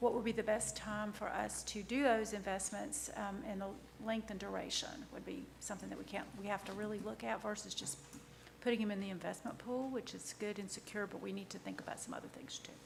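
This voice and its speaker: A woman's medium-pitched voice at a fairly quick pace with fairly even intonation, amid noticeable background noise and audible room echo. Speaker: town finance director. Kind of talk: council meeting report. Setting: council meeting room. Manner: fast. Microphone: too far from microphone at first.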